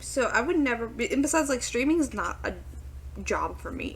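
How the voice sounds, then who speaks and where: A woman talks quietly, with audible room echo around her voice. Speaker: reaction YouTuber / VTuber. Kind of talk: reaction video commentary. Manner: hesitant, filler-heavy.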